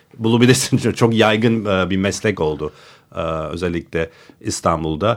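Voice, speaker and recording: Pitch varies in an ordinary way. The delivery is moderately paced. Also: man. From United States. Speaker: designer and architecture writer. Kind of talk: casual chat. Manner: halting.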